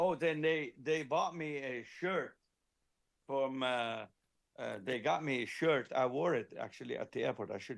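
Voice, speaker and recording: This man has an ordinary speaking voice with a fairly high pitch. He speaks at a fairly slow pace with ordinary pitch variation. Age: 60s. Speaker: car audio company founder and engineer. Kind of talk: casual chat.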